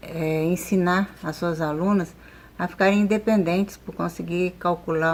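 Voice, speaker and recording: A woman's voice with a fairly low pitch. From Rio de Janeiro, Brazil. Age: 70s. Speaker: course student. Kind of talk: testimony. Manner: halting.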